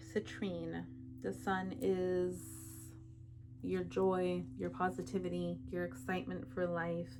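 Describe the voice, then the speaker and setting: A woman speaks at a very slow pace with very deep, low pitch and very wide pitch swings. There is audible room echo. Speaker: tarot reader. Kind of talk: tarot reading. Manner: casual, chatty.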